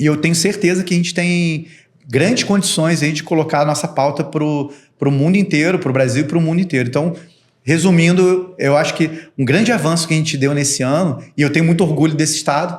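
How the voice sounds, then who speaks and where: Keeping very even loudness and fairly even intonation, a man with a fairly high pitch speaks at a fairly quick pace. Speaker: ESG professional, podcast guest. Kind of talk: podcast panel conversation.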